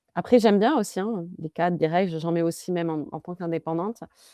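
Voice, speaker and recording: On a very clean recording with a silent background and a dry, close sound with no echo, a woman speaks at fairly low pitch in a dark, mellow tone. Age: 30s. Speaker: marketing consultant. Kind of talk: interview conversation.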